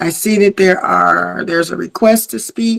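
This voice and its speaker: A woman speaks in a plain, everyday voice. Her pitch is medium and her pace is moderate. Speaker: online audio room host. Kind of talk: group discussion.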